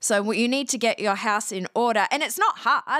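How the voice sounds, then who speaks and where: A woman's bright, sharp tone in an Australian accent, on a very clean recording with a silent background and a dry, close sound with no echo. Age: 40s. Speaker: podcast talent agency CEO. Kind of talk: interview.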